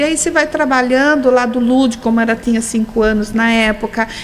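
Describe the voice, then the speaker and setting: A woman with a fairly high pitch and ordinary pitch variation talks while noticeable noise sits in the background. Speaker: holistic therapist, hypnotherapist. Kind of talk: radio interview.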